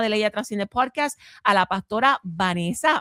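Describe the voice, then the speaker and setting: A woman talks at a moderate pace in a dry, close sound with no echo. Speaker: pastor and podcast host. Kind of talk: casual interview chat. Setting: live-streamed podcast.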